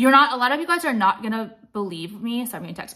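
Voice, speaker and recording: Very fast and with ordinary pitch variation, a woman speaks. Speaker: vlogger giving dating opinions. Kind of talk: casual vlog chat. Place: home room. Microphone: phone near.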